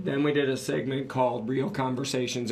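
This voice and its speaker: Noticeable background noise and audible room echo surround a man with an American accent. His pitch is fairly high and his intonation fairly even. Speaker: podcast co-host, business owner. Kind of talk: casual podcast talk.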